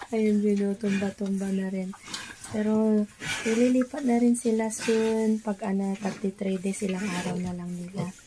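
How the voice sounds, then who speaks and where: A woman at medium pitch and moderate pace, fairly even in intonation, with noticeable background noise. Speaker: backyard pig raiser vlogger. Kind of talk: casual vlog narration.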